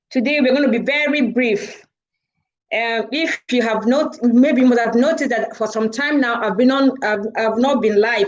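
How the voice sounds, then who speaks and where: At a moderate pace, a woman with a Nigerian accent speaks at fairly high pitch with ordinary pitch variation. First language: Igbo. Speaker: charity organiser, live-stream host. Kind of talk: live stream talk. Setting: live video stream.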